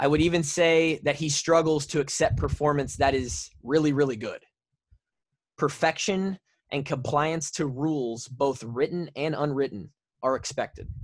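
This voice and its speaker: A man with fairly high pitch and fairly even intonation talks at a moderate pace over a quiet background. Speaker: podcast co-host, former college football player. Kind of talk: casual chat. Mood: serious, measured. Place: home room. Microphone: studio mic.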